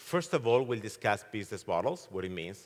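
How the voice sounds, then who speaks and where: A man with an Italian accent talks at a fairly quick pace in a fairly low pitch with ordinary pitch variation, on a very clean recording with a silent background. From Italy. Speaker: keynote speaker, fintech expert. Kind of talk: keynote presentation. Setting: conference stage with audience.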